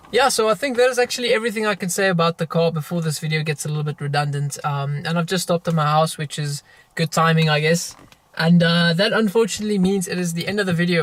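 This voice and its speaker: A man talks at a very fast pace in a high pitch, with ordinary pitch variation. The sound is dry and close with no echo. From South Africa, Afrikaans-speaking. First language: Afrikaans. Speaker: car YouTuber. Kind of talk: car review monologue. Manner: hesitant, many fillers and stutters.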